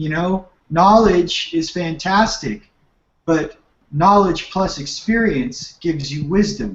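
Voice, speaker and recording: A man with a Californian accent talks in a high voice, with ordinary pitch variation. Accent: Californian surfer dude. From Southern California (Manhattan Beach). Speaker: spiritual teacher. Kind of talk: radio interview.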